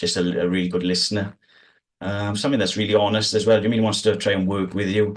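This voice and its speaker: A man with a South Wales accent talks at a very fast pace in a monotone, flat intonation. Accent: South Wales valleys. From South Wales valleys. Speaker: sheepdog trial handler. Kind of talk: casual interview chat. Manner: calm.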